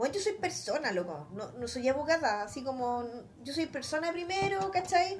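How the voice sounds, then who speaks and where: A high-pitched woman in a Chilean accent, very wide pitch swings, moderate pace, audible room echo and noticeable background noise. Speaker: podcast co-host, lawyer. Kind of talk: casual chat.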